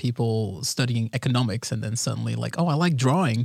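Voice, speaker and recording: Heard on a very clean recording with a silent background, a man with a medium pitch and a somewhat breathy voice speaks fairly quickly. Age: 20s. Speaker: video game environment artist. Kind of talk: casual chat.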